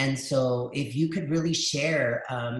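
An American-accented man speaks at a medium pitch with monotone, flat intonation. The background is quiet, though room echo is audible. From El Paso, Texas; Texas. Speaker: dual language educator and webinar host; facilitator, educator. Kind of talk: live webinar conversation. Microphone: video call.

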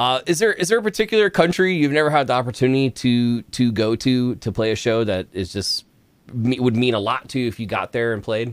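A man's fairly quick delivery with lively intonation and a dry sound with no echo. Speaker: music reaction show host. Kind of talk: casual interview. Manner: enthusiastic, animated. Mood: friendly, upbeat. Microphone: studio mic.

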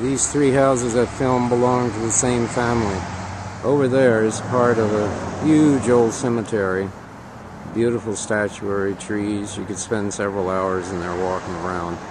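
A man speaks at a moderate pace in a fairly low voice, the sound dry with no echo and with noticeable background noise behind him. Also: ordinary pitch variation. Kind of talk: casual travel narration. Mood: relaxed, appreciative. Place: street. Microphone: phone near.

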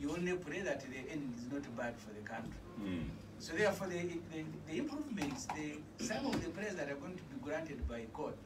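Noticeable background noise under a moderate pace. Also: man. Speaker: guest. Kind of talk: political talk show discussion. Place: studio. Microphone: phone near.

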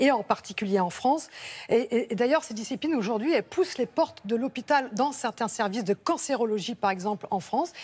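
The woman talks at a fairly quick pace with lively intonation. Her pitch sits fairly high. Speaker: health columnist; TV presenter. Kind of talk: studio chat. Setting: studio. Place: studio. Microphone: lapel.

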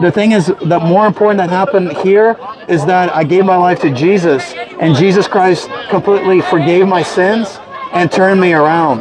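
Over crowd noise in the background, a man speaks at a moderate pace with ordinary pitch variation and very even loudness. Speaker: street preacher. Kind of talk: street sermon. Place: street.

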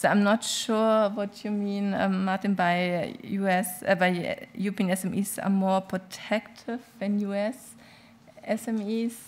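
Speaking at a very slow pace, a woman with a German accent holds a medium pitch in a monotone, flat intonation. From Germany. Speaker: business association legal advisor; panelist. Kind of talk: panel discussion. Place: hall. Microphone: podium.

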